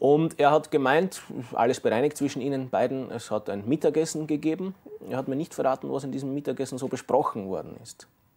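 Delivery is fairly quick with ordinary pitch variation. Loudness swings widely. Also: man, fairly high pitch for a man. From Austria. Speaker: sports TV presenter; TV sports host. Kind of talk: studio interview. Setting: studio. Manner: formal, eloquent. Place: studio. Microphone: lapel.

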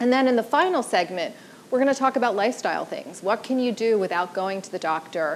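Very wide pitch swings mark a woman talking at a very fast pace over light background noise. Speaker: panel moderator. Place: stage. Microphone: lapel.

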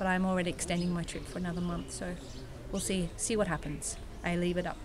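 A woman with an Australian accent at a fairly quick pace, over noticeable background noise. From Australia, Sydney. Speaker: volunteer. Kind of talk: casual interview testimony. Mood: warm, enthusiastic. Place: garden. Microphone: phone near.

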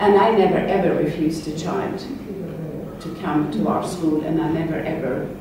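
A woman's voice with strong room echo and noticeable background noise. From Sweden. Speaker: Montessori educator, workshop co-leader. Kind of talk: workshop discussion. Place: hall.

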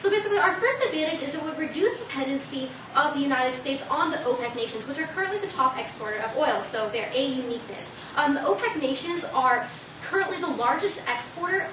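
Amid noticeable background noise and audible room echo, a woman talks very fast in a high voice. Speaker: student debater. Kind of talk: debate speech. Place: classroom. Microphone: camera far.

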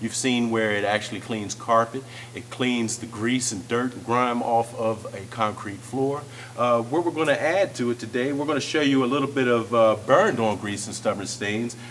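Noticeable background noise sits behind a man speaking at a moderate pace and medium pitch with fairly even intonation. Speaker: product demonstrator. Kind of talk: sales pitch. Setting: demonstration on floor surfaces, video. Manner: informal, explanatory.

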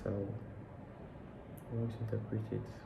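A man talks with monotone, flat intonation. There is noticeable background noise. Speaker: bible reader. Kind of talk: casual talk to camera, personal interpretation. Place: home room. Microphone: phone near.

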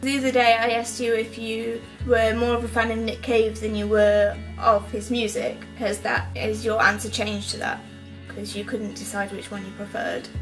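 Clear music plays behind a woman who talks at a moderate pace. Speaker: film discussion host. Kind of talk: casual talk to camera. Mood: relaxed, chatty. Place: home room. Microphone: webcam.

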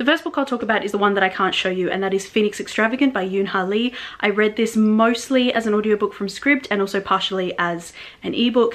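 In an Australian accent, a woman talks at a very fast pace. Her pitch sits fairly high. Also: ordinary pitch variation. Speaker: book reviewer. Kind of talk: casual talk to camera. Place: home room.

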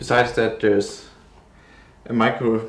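This man speaks at a moderate pace in a medium pitch with a non-native accent, over light background noise and audible room echo. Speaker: tech reviewer. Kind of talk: product unboxing narration. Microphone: phone near.

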